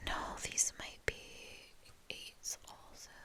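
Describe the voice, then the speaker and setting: Someone is whispering at a very slow pace. Background noise is noticeable. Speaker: ASMR creator. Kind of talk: ASMR show-and-tell talk. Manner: whispered; casual, rambling.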